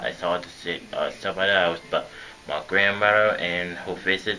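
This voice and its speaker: A man with a very deep, low pitch talks at a moderate pace in a monotone, flat intonation. Noticeable background noise runs behind him. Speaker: vlogger. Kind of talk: personal vlog monologue. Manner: halting.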